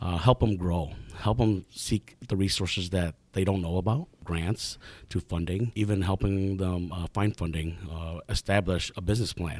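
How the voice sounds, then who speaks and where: In an Upper Midwest accent, the speaker goes at a moderate pace with fairly even intonation on a very clean recording with a silent background. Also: man, very deep, low pitch for a man. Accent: Upper Midwest American. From Eau Claire, Wisconsin. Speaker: small business advisor. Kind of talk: interview. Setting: studio. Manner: hesitant with frequent fillers.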